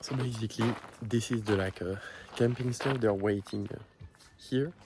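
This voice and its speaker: Intonation stays fairly even as a man speaks. His pace is moderate. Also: medium pitch for a man. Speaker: vlogger and business owner. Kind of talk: casual vlog talk. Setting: outdoors at a campsite. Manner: hesitant, many fillers.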